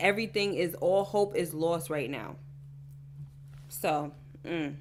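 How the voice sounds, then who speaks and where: Speaking at a fairly slow pace, a woman with a fairly low pitch, ordinary pitch variation and vocal fry has an animated tone. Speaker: YouTube TV show reactor. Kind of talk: casual TV recap chat. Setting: livestream.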